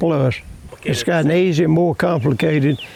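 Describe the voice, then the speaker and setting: With a Louisiana accent, a man speaks at a moderate pace with ordinary pitch variation over noticeable background noise. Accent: Southern US (Louisiana). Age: 80s+. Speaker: farmer. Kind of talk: interview answer.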